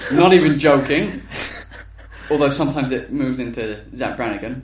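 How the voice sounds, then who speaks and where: A fairly high-pitched man with an English accent, moderate pace and ordinary pitch variation, in audible room echo. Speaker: podcast co-host. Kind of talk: casual chat. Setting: home recording room.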